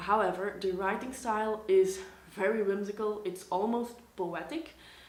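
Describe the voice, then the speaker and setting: Noticeable background noise fills the clip, along with audible room echo. The voice belongs to a woman. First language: Dutch. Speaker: book vlogger. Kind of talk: casual vlog talk.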